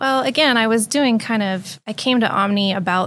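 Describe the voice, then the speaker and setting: A woman with an American accent speaks on a very clean recording with a silent background. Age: 40s. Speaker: company executive. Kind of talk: interview. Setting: studio.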